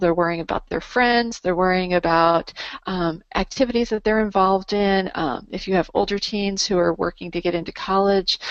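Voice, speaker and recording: A woman speaks at a medium pitch with fairly even intonation. She has hardly any pauses. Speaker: nutrition product distributor, presenter. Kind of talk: webinar presentation. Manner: fast.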